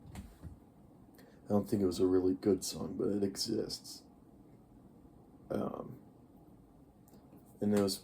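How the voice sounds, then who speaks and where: A man's fairly low, monotone, flat delivery broken by long, frequent pauses. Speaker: youtuber. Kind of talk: casual vlog monologue. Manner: slurred, uneven pace; rambling, hesitant.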